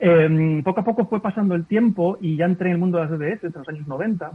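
The man speaking here shows ordinary pitch variation. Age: 40s. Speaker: ethical hacker, cybersecurity entrepreneur. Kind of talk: interview. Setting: video call.

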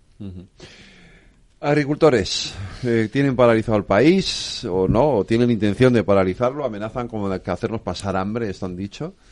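A man's normal speaking voice at medium pitch, with lively intonation and a moderate pace. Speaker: radio host. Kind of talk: radio talk show.

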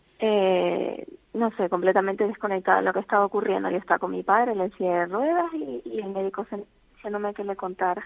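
A normal speaking voice moves at a fairly quick pace. Its pitch variation is ordinary. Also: woman, medium pitch for a woman. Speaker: family caregiver. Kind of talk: phone interview. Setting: phone call. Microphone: bad phone connection.

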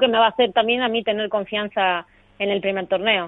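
A woman is speaking. She keeps a moderate pace. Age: 30s. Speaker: professional padel player. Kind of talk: interview.

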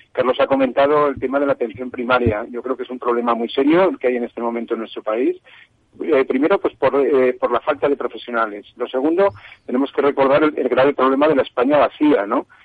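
A man speaks at a very fast pace, his medium pitch showing ordinary variation. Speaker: health communications director. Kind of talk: radio panel discussion. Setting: remote connection.

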